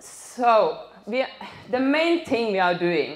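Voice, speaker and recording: A woman speaks in a Norwegian accent. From northern Norway. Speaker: animal rights activist. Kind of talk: public talk. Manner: halting.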